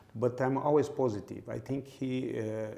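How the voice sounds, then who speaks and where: A man's dark, mellow voice with vocal fry, at a fairly slow pace. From Brazil, Belo Horizonte. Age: 60s. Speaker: sports executive. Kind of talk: interview. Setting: high-rise tower with a view. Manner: halting, many fillers and repetitions.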